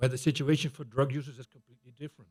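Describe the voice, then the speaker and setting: A man speaks with a Dutch accent. His pitch is medium. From Netherlands. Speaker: public health researcher. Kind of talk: conference presentation.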